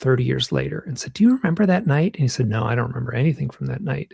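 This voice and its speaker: Somewhat breathy, a man with an American accent speaks at a fairly high pitch. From US Midwest, Michigan. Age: 60s. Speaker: author and UFO researcher. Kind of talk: interview, personal storytelling. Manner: halting, many fillers and restarts.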